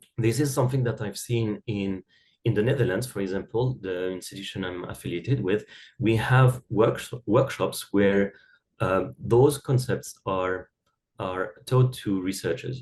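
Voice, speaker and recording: The pace here is fairly slow, with ordinary pitch variation. The voice is somewhat breathy. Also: man. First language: not English (English is third language). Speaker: academic writing expert. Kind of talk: podcast interview. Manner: halting, many fillers and repeated words.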